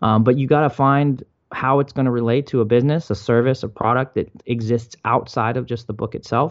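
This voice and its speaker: A man with an American accent, an ordinary speaking voice, medium pitch and a fairly quick pace. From Maryland, US. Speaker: author and entrepreneur. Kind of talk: interview.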